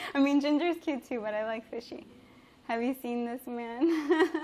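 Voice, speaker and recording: Here a woman speaks with a Spanish accent. Her pace is fairly slow. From Mexico. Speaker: chef and livestreamer. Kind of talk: live-stream cooking chat. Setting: home kitchen live stream. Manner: casual and chatty.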